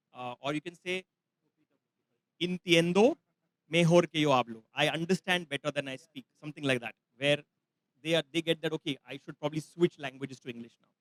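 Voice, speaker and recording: A man with a Marathi accent, fairly high in pitch, at a fairly quick pace with long, frequent pauses, big swings in loudness, ordinary pitch variation and a dry, close sound with no echo. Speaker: travel expert, workshop presenter. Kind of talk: live masterclass talk. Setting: festival session with audience.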